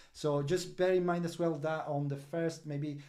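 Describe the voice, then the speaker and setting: A man's dark, mellow tone with fairly even intonation, plus audible room echo. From Italy. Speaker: crypto project representative. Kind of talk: project update livestream. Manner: halting, many fillers.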